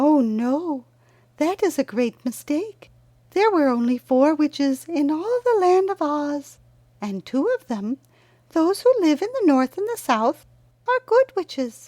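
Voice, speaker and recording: A female-sounding, high-pitched put-on character voice moves at a fairly slow pace. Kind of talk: storybook character reading. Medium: read story. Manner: sweet, calm, courteous.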